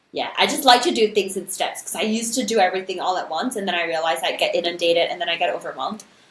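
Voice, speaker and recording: A woman speaks at a very fast pace. Her voice is medium in pitch, with noticeable background noise. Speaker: content creator and singer. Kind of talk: interview conversation. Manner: animated.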